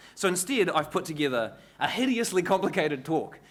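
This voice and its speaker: Lively intonation and a fairly quick pace carry this speech in a New Zealand accent. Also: man. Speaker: cybersecurity consultant. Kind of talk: conference talk. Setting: stage with audience. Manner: fast.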